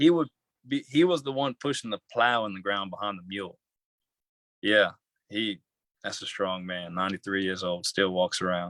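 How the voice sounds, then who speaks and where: A man with a Southern Louisiana accent, long, frequent pauses and big swings in loudness, in a dry, close sound with no echo. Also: ordinary pitch variation, moderate pace, very clean recording, silent background. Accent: Southern Louisiana accent, noticeable. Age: young. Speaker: young entrepreneur. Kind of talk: interview. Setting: livestream. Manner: halting.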